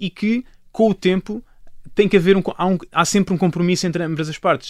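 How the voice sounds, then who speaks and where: A man talking at a fairly quick pace, with ordinary pitch variation. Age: 20s. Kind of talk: panel discussion. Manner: halting.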